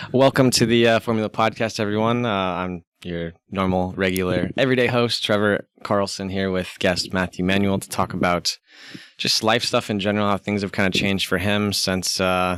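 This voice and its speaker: A man talks at a moderate pace in a fairly low register, with a plain, everyday voice. His intonation stays fairly even. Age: 30s. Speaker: podcast host. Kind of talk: casual chat.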